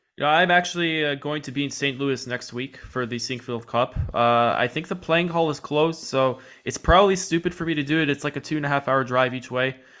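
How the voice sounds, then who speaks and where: With an American accent and a plain, everyday voice, a man talks at a fairly quick pace with hardly any pauses, his pitch fairly high and its variation ordinary. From New York City. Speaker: podcast host. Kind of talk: interview.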